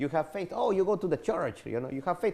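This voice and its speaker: Dark, mellow male tone, its intonation lively. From Peru. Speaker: diplomat. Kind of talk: TV interview.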